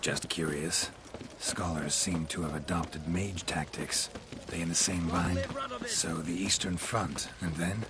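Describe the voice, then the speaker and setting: Speaking in a put-on character voice, a man with a very deep, low pitch talks at a fairly slow pace against loud background noise. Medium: game stream. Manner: terse, clipped, low-key.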